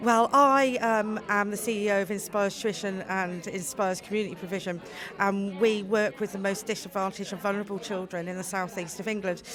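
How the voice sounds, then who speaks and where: A woman's medium-pitched voice at a fairly quick pace, fairly even in intonation, with music in the background. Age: 40s. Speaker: charity CEO. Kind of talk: event interview. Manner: halting.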